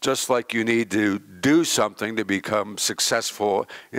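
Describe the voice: The clip is plain reading aloud.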